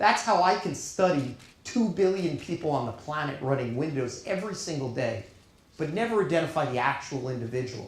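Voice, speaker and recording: A fairly high-pitched man with a New York accent, animated tone, lively intonation and a fairly quick pace, with audible room echo and noticeable background noise. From Long Island, New York. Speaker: keynote speaker, data science leader. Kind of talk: keynote speech.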